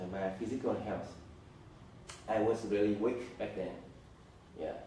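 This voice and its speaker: A man speaks at a fairly slow pace in a fairly low pitch. Audible echo from the room surrounds his voice. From Vietnam, Hanoi. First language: Vietnamese. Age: 30s. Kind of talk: interview. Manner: halting.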